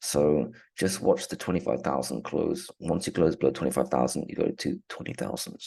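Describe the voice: Putting on a character voice, a man speaks fairly quickly in a very deep, low pitch that sounds raspy and hoarse.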